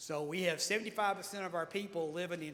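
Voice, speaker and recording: This man's voice sits high in pitch, with fairly even intonation. Room echo is audible. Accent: Tennessee. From Tennessee (Lawrence County, Smyrna). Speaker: mayor. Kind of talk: panel talk. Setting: stage with audience. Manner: halting, many fillers.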